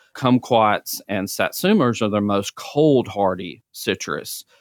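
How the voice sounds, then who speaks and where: An Alabama accent, dry and close with no echo, in a very clean recording with a silent background. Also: man. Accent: Southern US (Alabama). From North Alabama (Centre). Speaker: regional extension agent, horticulturist. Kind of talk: podcast interview.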